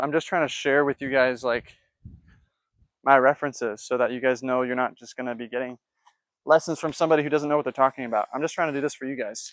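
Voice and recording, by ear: A man talks at a fast pace in a fairly bright tone with fairly even intonation. The sound is dry and close, with no echo. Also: medium pitch for a man.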